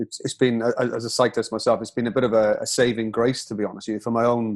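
Here a man talks in a Welsh accent at medium pitch. The background is quiet. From Wales. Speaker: podcast host. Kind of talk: casual interview.

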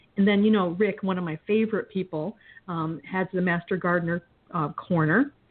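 A woman speaks in a plain, everyday voice at medium pitch. Her intonation is fairly even and her pace moderate. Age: 50s. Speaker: chef and podcast host. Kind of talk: casual interview.

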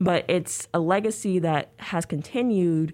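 An unremarkable speaking voice from a woman, fairly low in pitch with ordinary pitch variation, in a very clean recording with a silent background. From US, moved around (military family; born New Orleans). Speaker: graduate student in literature. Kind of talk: casual interview. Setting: radio studio.

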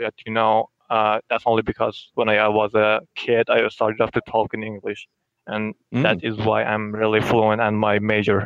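A man's fairly low, flat, monotone voice with a Persian accent. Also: moderate pace. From Iran. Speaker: caller. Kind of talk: casual chat. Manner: halting.

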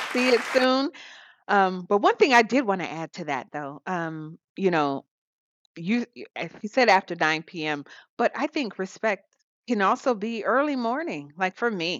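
A woman with an American accent talks at a moderate pace, with very wide pitch swings and big swings in loudness. The recording is very clean with a silent background, dry and close with no echo. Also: medium pitch for a woman. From US South. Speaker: podcast co-host. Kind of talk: casual chat.

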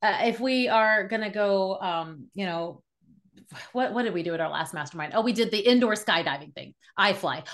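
In a quiet background, a woman talks with a normal speaking voice. Her pitch is medium, her pace moderate, and her pitch variation ordinary. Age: 40s. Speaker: podcast host and marketing business owner. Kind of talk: casual chat.

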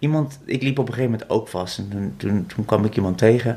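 A somewhat breathy man at a fairly quick pace with lively intonation. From Netherlands, North Brabant (Vught). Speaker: visual artist and magician. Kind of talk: interview. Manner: halting, many fillers and repetitions.

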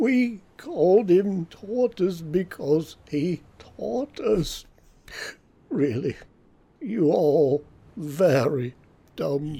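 In a put-on character voice at middle pitch, the speaker goes very slowly, leaving long, frequent pauses. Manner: sorrowful, self-important, wistful.

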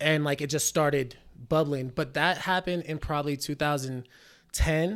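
An American accent at a fairly slow pace, broken by long, frequent pauses, on a very clean recording with a silent background. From Reno, Nevada. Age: 20s. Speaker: musician. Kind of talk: casual chat.

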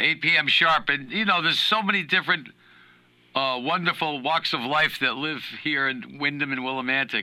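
With an American accent, a man talks at a moderate pace in a fairly high pitch, his tone bright and sharp and his pitch variation ordinary. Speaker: musician. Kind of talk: casual chat. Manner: joking, animated.

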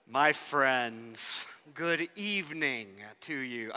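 Putting on a character voice, a man speaks at a very slow pace and a medium pitch. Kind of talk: formal greeting. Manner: spooky, theatrical.

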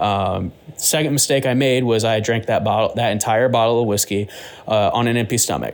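An unremarkable speaking voice: a man at medium pitch, fairly quick pace, fairly even intonation and very even loudness. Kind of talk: casual chat.

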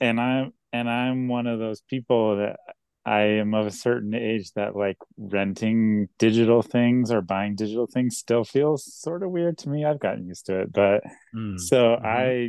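In an unremarkable speaking voice, a man talks at a moderate pace with medium pitch and ordinary pitch variation. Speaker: hip-hop artist. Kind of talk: casual chat.

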